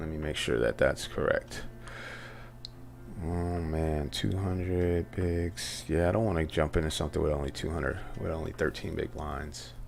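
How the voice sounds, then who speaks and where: A soft-spoken voice with an American accent at a moderate pace. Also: man, very deep, low pitch for a man, ordinary pitch variation. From Southern California. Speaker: poker streamer. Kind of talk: live stream commentary.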